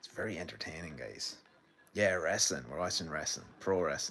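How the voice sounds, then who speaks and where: Here a man speaks with an Irish Midlands accent. His pace is fairly quick. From Ireland, County Laois. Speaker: filmmaker streaming wrestling watch-along. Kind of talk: casual live-stream commentary. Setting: home sitting room, live stream. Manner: animated.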